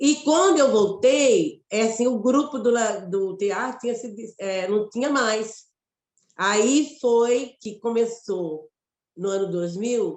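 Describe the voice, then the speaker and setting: A woman speaks at a fairly high pitch with lively intonation and a Mato Grosso accent. Her pace is very slow. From Mato Grosso, Brazil. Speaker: actress and poet. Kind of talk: interview conversation. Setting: web radio live.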